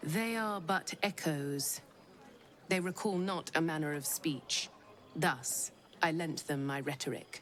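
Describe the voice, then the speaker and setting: A drawling, put-on character voice at a middle pitch moves at a fairly slow pace with long, frequent pauses. Clear background noise runs underneath. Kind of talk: archaic formal speech. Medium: video game. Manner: archaic, eloquent drawl.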